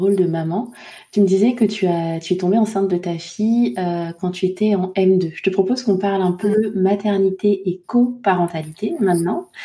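Somewhat breathy, dark and mellow, a woman's medium-pitched voice with ordinary pitch variation at a moderate pace. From Côte d'Ivoire and Île-de-France. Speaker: podcast host. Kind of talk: interview conversation.

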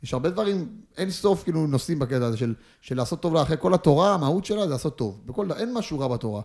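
This man's pitch is fairly high and swings very widely. He talks at a very fast pace. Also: very clean recording, silent background. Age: 20s. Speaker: footballer. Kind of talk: casual chat. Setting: studio.

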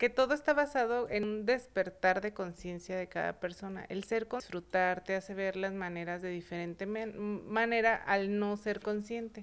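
Her voice is an unremarkable speaking voice, a woman's at medium pitch, rising and falling in an ordinary way. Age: 30s. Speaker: beauty professional and salon owner. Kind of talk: casual chat.

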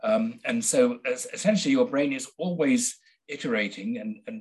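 A man's high voice in a Midlands accent, with very wide pitch swings. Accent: English (Midlands), educated. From central England. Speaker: biochemist and author. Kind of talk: casual interview conversation.

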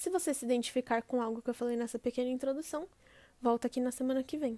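On a very clean, dry, close recording with no echo and a silent background, a woman with a high pitch and a dark, mellow tone talks at a very fast pace with fairly even intonation. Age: 20s. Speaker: podcast host. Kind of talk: scripted monologue.

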